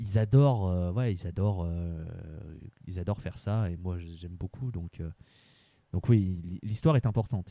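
A man with a very deep, low voice and a dark, mellow tone speaks at a fairly slow pace, leaving long, frequent pauses. The recording is very clean, with a silent background. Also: ordinary pitch variation, big swings in loudness. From France, Lyon region. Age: 20s. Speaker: football supporter. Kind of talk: casual interview chat.

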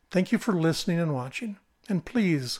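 A man speaks at a high pitch with an American accent. The recording is very clean and the background silent. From central Minnesota, US Midwest. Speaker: political podcaster. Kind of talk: scripted monologue.

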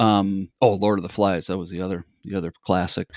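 Very deep and low-pitched, a man talks at a fairly quick pace with vocal fry and ordinary pitch variation. The sound is dry and close with no echo, on a very clean recording with a silent background. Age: 50s. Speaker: children's book author. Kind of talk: casual interview. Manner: halting, many fillers.

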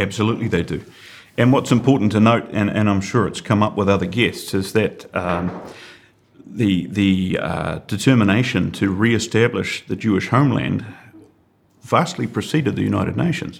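Speaking with a New Zealand accent, a man uses a fairly low pitch, vocal fry, and ordinary pitch variation. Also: moderate pace. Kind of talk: podcast interview.

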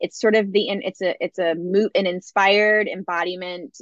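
A woman with a normal speaking voice talks at medium pitch and a moderate pace, with fairly even intonation. The sound is dry and close, with no echo. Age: 40s. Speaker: wellness leader and former yoga teacher. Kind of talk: casual chat.

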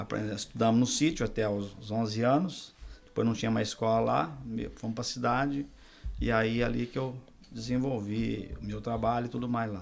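A man talks at a moderate pace. He has an ordinary speaking voice. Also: medium pitch for a man, ordinary pitch variation. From Minas Gerais, Brazil. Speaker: pastor. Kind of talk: testimony.

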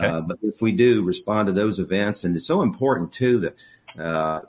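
A man with an American accent talks at a moderate pace in a normal speaking voice, fairly low in pitch with ordinary pitch variation. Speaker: local business executive. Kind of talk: interview.

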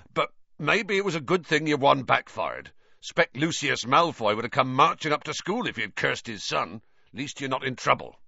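A man's put-on character voice, gruff and growling, with vocal fry, a slightly husky edge, a bright, sharp tone, medium pitch, lively intonation and few pauses. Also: moderate pace.

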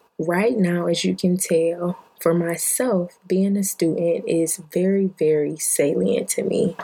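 A woman with an American accent and fairly low pitch, very slow yet with hardly any pauses, fairly even intonation and very even loudness, over noticeable background noise. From Detroit, Michigan. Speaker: podcast host. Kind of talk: casual monologue.

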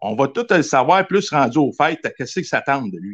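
Against a quiet background, a man with a Quebec accent talks at a fairly high pitch. His pitch swings very widely. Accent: Québécois French. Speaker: caller, hockey fan. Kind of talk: casual chat.

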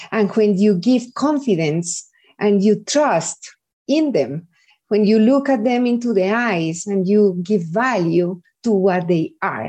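Against a quiet background, a woman of medium pitch speaks very slowly in a dark, mellow tone, her intonation lively. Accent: Spanish. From Colombia, Medellin. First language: Spanish. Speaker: early education executive. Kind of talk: interview.

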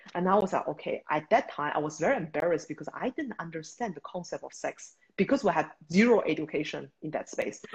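Speaking very fast with lively intonation, a woman has a Beijing accent. Her voice is somewhat breathy and fairly low in pitch. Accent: Chinese (Beijing) accent in English. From China, Beijing. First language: Mandarin Chinese. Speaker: startup founder and CEO. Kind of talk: interview.

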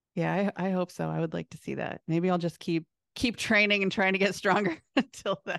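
A woman with an American accent speaks at a fairly quick pace in an ordinary speaking voice, medium in pitch and fairly even in intonation. The sound is dry and close with no echo, over a quiet background. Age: 40s. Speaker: former pro dance team member and powerlifter. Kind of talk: interview conversation.

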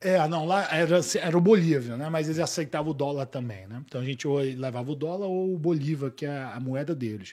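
A man with a plain, everyday voice and a fairly high pitch talks at a fairly quick pace with hardly any pauses and ordinary pitch variation, on a very clean recording with a silent background. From Boa Vista, Roraima, northern Brazil. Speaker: jiu-jitsu academy director. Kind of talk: casual chat.

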